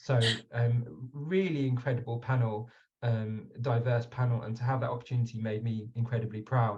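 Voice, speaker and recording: A man talks at a fairly quick pace. His voice is somewhat breathy. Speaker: webinar moderator. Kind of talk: online panel discussion. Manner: hesitant, with fillers.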